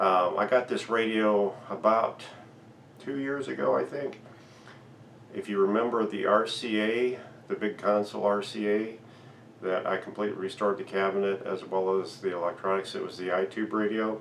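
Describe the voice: With audible room echo, a man speaks at a moderate pace in a fairly low pitch, with vocal fry and fairly even intonation.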